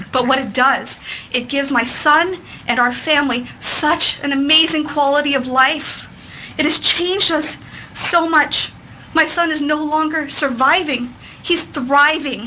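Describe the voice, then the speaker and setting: Over noticeable background noise, a woman with an American accent speaks in a raised, projected voice. Her pitch is high, her pace fairly slow, and her intonation fairly even. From Texas. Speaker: parent advocate. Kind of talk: testimony. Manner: formal.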